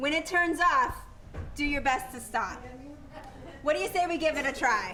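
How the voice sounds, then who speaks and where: Over noticeable background noise, a woman with a high pitch and lively intonation uses a raised, projected voice at a moderate pace, with long, frequent pauses. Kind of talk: radio play host introduction to a live audience. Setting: live church performance before an audience.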